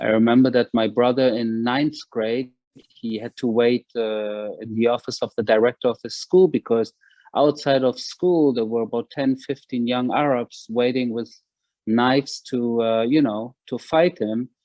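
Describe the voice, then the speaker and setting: A man's medium-pitched voice in a German accent, fairly slow pace and fairly even intonation. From Germany, Berlin (Wedding). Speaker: author and former military spokesman. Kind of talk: interview. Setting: video call. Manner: halting, many fillers.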